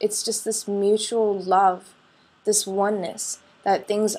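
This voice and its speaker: On a very clean recording with a silent background, a woman at medium pitch speaks at a very slow pace. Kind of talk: casual talk to camera.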